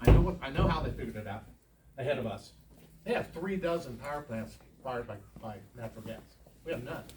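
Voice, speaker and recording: A man with a medium-pitched voice talks at a very fast pace with lively intonation, big swings in loudness, and long, frequent pauses. Noticeable background noise and audible room echo are present. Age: 70s. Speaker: oil and gas industry representative. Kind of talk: presentation to a public meeting. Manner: halting, with many fillers.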